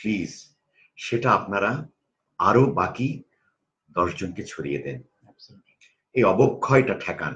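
A man speaks at a medium pitch. His voice carries vocal fry. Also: lively intonation. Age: 50s. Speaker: corporate trainer. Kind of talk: interview conversation.

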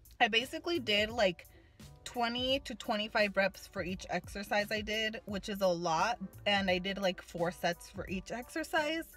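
Faint music plays in the background as a woman talks at a moderate pace. The sound is dry with no echo. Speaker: fitness vlogger. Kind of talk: casual vlog chat. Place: car. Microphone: phone near.

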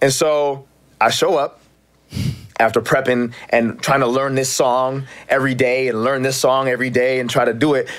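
A man talks in an animated tone at a moderate pace. The background is quiet. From Canada, Toronto. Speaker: actor. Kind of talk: casual chat. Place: studio. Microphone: studio mic.

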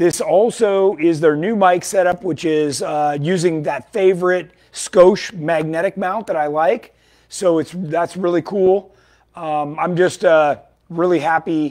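A high-pitched man at a fairly slow pace, with fairly even intonation and a quiet background. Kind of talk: casual product update talk. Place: shop.

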